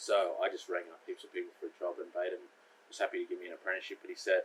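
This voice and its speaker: Speaking very fast, a man delivers his words with an Australian accent. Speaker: carpenter. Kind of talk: casual chat.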